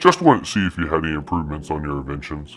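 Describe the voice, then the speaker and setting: A man puts on a character voice with a very deep, low pitch, talking at a very fast pace. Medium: actual play. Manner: harried, muttering.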